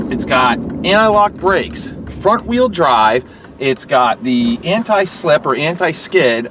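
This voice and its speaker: Over noticeable background noise, a man with a high voice speaks with very wide pitch swings. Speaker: used car dealer. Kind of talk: sales pitch. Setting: in a car.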